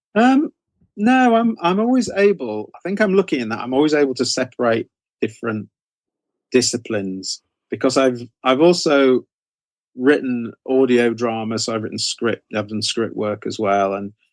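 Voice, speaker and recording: The speaker has an English accent and lively intonation at a moderate pace. The sound is dry and close, with no echo. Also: man, medium pitch for a man. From England. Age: 60s. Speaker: horror author. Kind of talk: interview. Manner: halting, many fillers.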